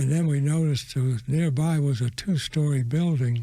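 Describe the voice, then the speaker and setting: A man with an American accent speaks at a fairly slow pace in a fairly high, somewhat breathy voice. His tone is dark and mellow, with fairly even intonation. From US South. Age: 80s+. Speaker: war veteran. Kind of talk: testimony.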